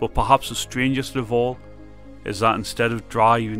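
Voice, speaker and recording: Music plays in the background as someone with a Geordie accent speaks with ordinary pitch variation. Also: man. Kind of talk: true crime podcast narration.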